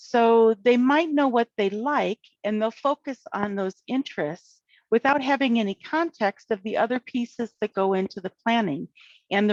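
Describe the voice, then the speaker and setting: A woman with a plain, everyday voice at a fairly high pitch, ordinary pitch variation and a moderate pace, in a dry, close sound with no echo. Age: 60s. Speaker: retired special educator, conference presenter. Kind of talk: lecture. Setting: virtual conference presentation.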